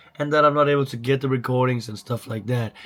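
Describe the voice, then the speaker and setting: A man's medium-pitched voice with a non-native accent and fairly even intonation. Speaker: fitness vlogger. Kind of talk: casual vlog talk.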